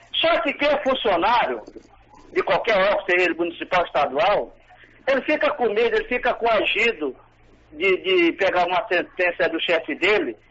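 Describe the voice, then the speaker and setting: Over noticeable background noise, a man with a high voice speaks at a moderate pace, his pitch swinging very widely. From Maranhão, Brazil. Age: 60s. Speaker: caller, retired federal employee. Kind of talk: radio call-in opinion.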